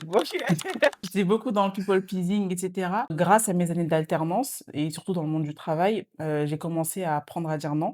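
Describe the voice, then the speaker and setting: Noticeable background noise sits behind a woman speaking at a moderate pace, fairly low in pitch with ordinary pitch variation. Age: 20s. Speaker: student and social media creator. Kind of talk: casual podcast chat. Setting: podcast recording. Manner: hesitant, many filler sounds.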